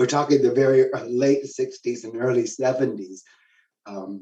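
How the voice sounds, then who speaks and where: At a fairly slow pace, a man talks with an American accent. He has an unremarkable speaking voice at medium pitch. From Texas, San Antonio. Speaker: theatre educator. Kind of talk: interview. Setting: video call.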